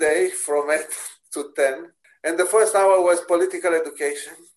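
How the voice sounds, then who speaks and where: High pitch and fairly level intonation in a man's speech. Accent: Romanian. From Romania. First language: Romanian. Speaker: pastor and theology professor. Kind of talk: interview.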